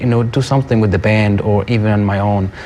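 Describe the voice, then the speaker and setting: Music plays in the background while a man talks at a medium pitch. He moves at a fairly quick pace with fairly even intonation. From Iraq. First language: Arabic. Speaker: musician. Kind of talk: TV interview. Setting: TV studio. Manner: halting.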